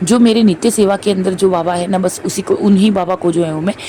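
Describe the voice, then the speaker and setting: Noticeable background noise sits behind a woman's voice. She speaks at a medium pitch in a monotone, flat way. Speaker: devotional vlogger. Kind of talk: vlog voice-over. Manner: filler-heavy, repetitive.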